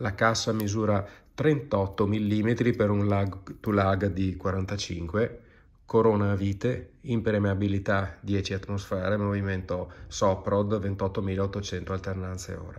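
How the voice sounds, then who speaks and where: Speaking at a very slow pace, a man keeps his fairly low voice in a fairly even intonation. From Treviso, northeastern Italy. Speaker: watch collector. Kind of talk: recorded video presentation. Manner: wordy, hesitant.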